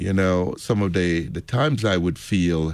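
The man's pitch is very deep and low, with ordinary pitch variation. He speaks at a fairly slow pace. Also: very clean recording, silent background. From Jamaica. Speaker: Lutheran pastor. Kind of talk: casual radio conversation.

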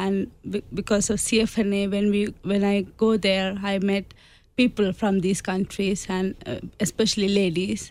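A woman's medium-pitched voice with an Indian accent and fairly even intonation. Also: moderate pace. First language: Indian language. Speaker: immigrant, charity participant. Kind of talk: radio interview. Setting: studio. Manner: halting, non-native English.

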